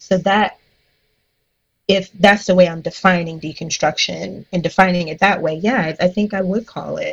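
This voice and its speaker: A somewhat breathy woman with an American accent at medium pitch, fairly even intonation, big swings in loudness and long, frequent pauses. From US Midwest, Cleveland, Ohio. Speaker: pastor and licensed counselor. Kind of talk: casual interview.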